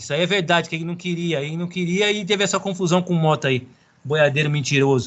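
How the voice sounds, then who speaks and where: A man with a high pitch at a very fast pace. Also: ordinary pitch variation. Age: 30s. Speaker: professional footballer. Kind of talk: casual chat.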